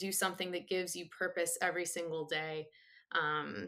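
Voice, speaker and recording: A woman's fairly low, bright, sharp voice with vocal fry, ordinary pitch variation, and a moderate pace. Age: 30s. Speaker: art therapist. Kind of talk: casual chat.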